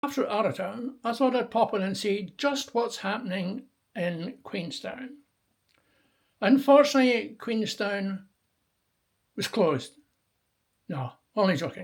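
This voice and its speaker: With a Scottish accent, a man speaks in a high voice with lively intonation at a fairly slow pace, leaving long, frequent pauses. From Scotland, near Stirling. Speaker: travel video maker. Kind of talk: travel vlog narration.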